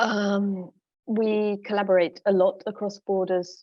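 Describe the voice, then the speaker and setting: A woman speaks with a London accent. Her intonation is monotone and flat. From London, England. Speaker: musician and curator. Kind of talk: conference presentation.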